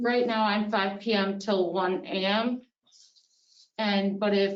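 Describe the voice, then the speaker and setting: A woman speaks in an ordinary speaking voice, medium in pitch, with fairly even intonation. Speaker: police officer. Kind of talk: public meeting remarks. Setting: town board meeting.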